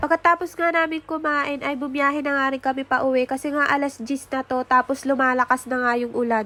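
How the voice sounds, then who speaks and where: A woman speaks in a raised, projected voice at a high pitch and a fairly quick pace, with fairly even intonation. The sound is dry and close with no echo, though noticeable background noise comes through. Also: hardly any pauses. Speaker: vlogger, home-service nail and lash technician. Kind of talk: vlog voice-over narration.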